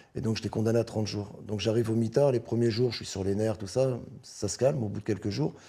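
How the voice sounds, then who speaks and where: At a very fast pace, a man speaks with a fairly low pitch, fairly even intonation and a somewhat breathy quality. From Paris, 18th arrondissement. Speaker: former prisoner. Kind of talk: interview.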